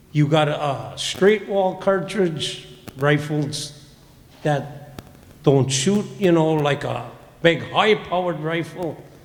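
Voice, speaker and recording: A man speaks very slowly in an Upper Midwest accent. His pitch sits fairly high, with ordinary variation. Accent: Upper Midwest (Minnesota). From Minnesota (St. Joseph area). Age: old. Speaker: public commenter. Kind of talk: public comment. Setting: county board meeting. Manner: casual.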